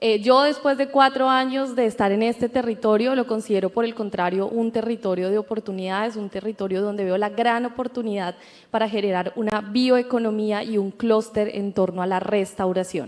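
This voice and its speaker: At a moderate pace, a woman speaks with a fairly high pitch and fairly even intonation. She has an ordinary speaking voice. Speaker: entrepreneur, co-founder. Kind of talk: panel discussion. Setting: stage with audience.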